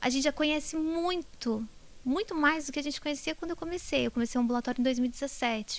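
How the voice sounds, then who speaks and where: A woman with a Brazilian accent. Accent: countryside Brazilian. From Brazil, interior (countryside). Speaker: neurologist, professor. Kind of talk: interview.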